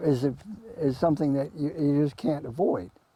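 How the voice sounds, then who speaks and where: Here a man with an American accent speaks at a moderate pace, his fairly high pitch carrying a dark, mellow tone. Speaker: local historian and author. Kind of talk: talk to an audience.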